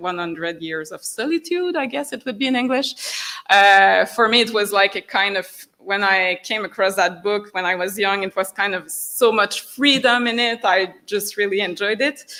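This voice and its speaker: A woman with a French accent speaks at medium pitch in a bright, sharp tone. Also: ordinary pitch variation, moderate pace. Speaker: writer. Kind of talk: public discussion with audience. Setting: hall with audience. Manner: halting.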